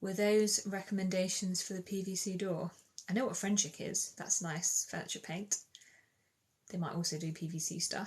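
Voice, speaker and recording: A woman's somewhat breathy, medium-pitched voice with a slight Bristol accent and fairly even intonation. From England, Bristol. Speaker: DIY content creator. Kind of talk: livestream chat answering comments. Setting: TikTok live stream. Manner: casual, chatty.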